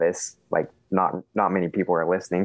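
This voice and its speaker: An unremarkable speaking voice belongs to a man who talks at a fairly quick pace. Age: 20s. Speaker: solar sales manager. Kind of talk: casual chat.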